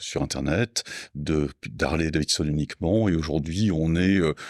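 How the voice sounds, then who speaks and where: A man's very deep, low voice with ordinary pitch variation, in a dry, close sound with no echo on a very clean recording with a silent background. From south-west France, Landes. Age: 60s. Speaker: motorcycle parts business owner. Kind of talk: podcast interview. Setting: in company premises. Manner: calm and understated; halting, many hesitations.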